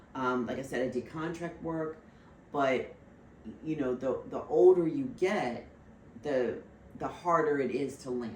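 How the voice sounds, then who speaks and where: A woman with a very deep, low voice speaks at a fairly slow pace with lively intonation. Room echo is audible. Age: 60s. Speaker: financial services professional. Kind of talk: casual chat. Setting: podcast interview.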